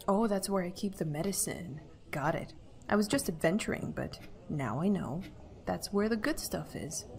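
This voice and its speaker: Vocal fry runs through this woman's voice. She talks at a moderate pace with lively intonation. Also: medium pitch for a woman. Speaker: let's player. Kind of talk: casual gameplay commentary. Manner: stuttery.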